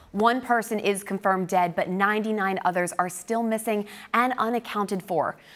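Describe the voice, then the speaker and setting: A woman speaks at a moderate pace and medium pitch, with very even loudness. Hers is an unremarkable speaking voice. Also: fairly even intonation. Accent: American. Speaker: news anchor and reporter. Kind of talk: TV news anchor read. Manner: clear, polished, brisk.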